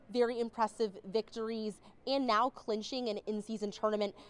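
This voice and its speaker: This woman has an ordinary speaking voice at a fairly high pitch. She talks at a fairly slow pace. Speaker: sports broadcaster. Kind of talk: sports highlights narration.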